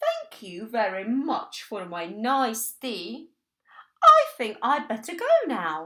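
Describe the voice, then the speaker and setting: A woman uses a put-on character voice at a fairly high pitch. She talks at a very slow pace. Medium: read story. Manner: polite.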